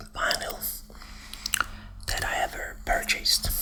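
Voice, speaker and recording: Against noticeable background noise, the whispering unfolds at a fairly slow pace. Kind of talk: ASMR whispering and soft talk about vinyl records, casual talk to camera. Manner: whispered, soft-spoken.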